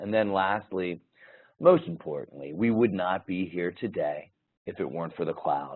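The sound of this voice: A man's put-on character voice, raspy and very deep in pitch, at a moderate pace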